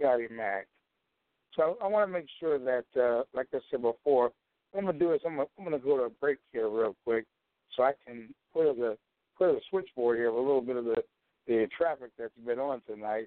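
At a fairly slow pace, a man uses an ordinary speaking voice, medium in pitch, with ordinary pitch variation. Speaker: call-in internet radio show host. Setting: phone line. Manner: calm, steering the conversation.

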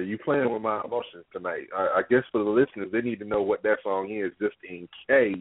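A man's fairly low voice, a normal speaking voice, at a moderate pace with fairly even intonation and hardly any pauses. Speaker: co-host. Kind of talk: casual chat.

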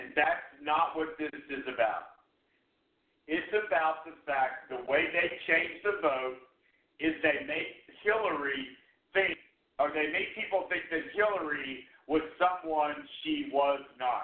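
With long, frequent pauses, a man speaks at a very slow pace, his fairly high voice showing ordinary pitch variation. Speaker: radio host. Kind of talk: talk radio show on politics. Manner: passionate.

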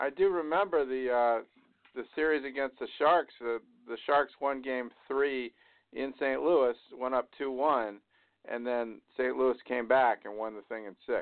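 A man speaks at a fairly slow pace with medium pitch. His pitch varies in an ordinary way, and it is an ordinary speaking voice. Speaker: radio show host. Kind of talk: casual sports talk show.

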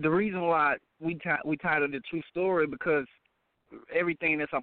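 A man with an American accent, a fairly high pitch, ordinary pitch variation and a very fast pace. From Dallas, Texas. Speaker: rapper. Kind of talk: interview.

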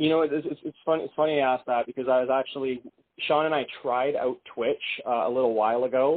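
Monotone, flat intonation marks this man's medium-pitched voice. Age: 30s. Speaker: indie rock musician. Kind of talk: casual interview.

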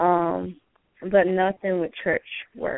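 A woman talks at a very slow pace. Her pitch is medium, with ordinary variation. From Georgia. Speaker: caller. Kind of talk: phone call-in chat.

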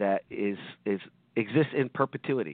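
A man with a plain, everyday voice, fairly low in pitch, at a moderate pace. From South Jersey (Hammonton area), US. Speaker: education lawyer. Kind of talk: radio interview.

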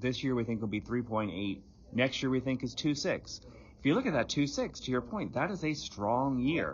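A man at medium pitch talks at a moderate pace with lively intonation, a normal speaking voice. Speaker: economist. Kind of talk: interview, professional conversation. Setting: in person at conference.

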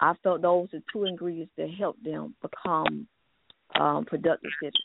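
The woman has a normal speaking voice, fairly low in pitch, and talks at a moderate pace. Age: 40s. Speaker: author and pastor. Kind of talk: testimony.

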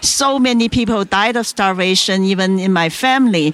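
A woman of medium pitch with a Chinese accent and ordinary pitch variation, against noticeable background noise. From China. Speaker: author and entrepreneur. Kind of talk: interview telling her life story. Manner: halting, with filler words.

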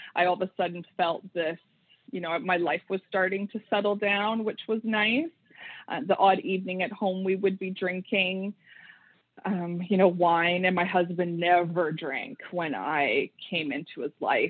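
A woman's medium-pitched, an ordinary speaking voice moves at a fairly slow pace, its pitch varying in an ordinary way. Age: 40s. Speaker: money and recovery coach. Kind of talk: interview testimony.

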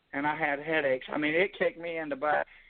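This man has an unremarkable speaking voice, pitched fairly high, with fairly even intonation. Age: 60s. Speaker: army veteran caller. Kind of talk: phone-in.

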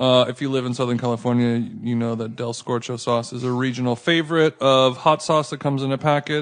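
An unremarkable speaking voice from a man, medium in pitch, fairly quick, with fairly even intonation and hardly any pauses. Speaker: food podcast host. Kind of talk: casual chat.

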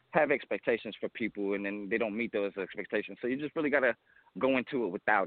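A man talks at a very fast pace. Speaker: caller. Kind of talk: casual chat. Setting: phone call while walking outdoors.

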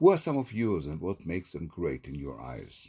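With an Israeli accent, a man talks in a very deep, low voice with a dark, mellow tone, vocal fry and very wide swings in pitch. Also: very clean recording, silent background. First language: Hebrew. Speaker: poet and theatre professor. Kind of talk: poetry reading and self-interview. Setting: solo recording.

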